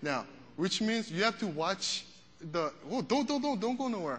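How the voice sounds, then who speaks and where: A man talks in an animated tone at a high pitch. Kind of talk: sermon with pep talk. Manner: animated, rallying, crowd-energizing.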